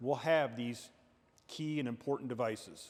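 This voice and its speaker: A man speaks at a moderate pace with ordinary pitch variation, on a very clean recording with a silent background. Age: 60s. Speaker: state police officer. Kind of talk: safety training talk. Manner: conversational.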